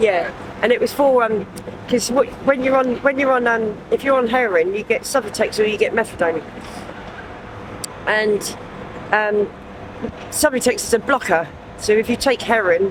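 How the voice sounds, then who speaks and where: A woman's fairly high voice in a southern English accent at a moderate pace, with ordinary pitch variation, long, frequent pauses and noticeable background noise. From southern England, Southampton. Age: 40s. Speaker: homeless person. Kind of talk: street interview. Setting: outdoors on the street. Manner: halting, many fillers.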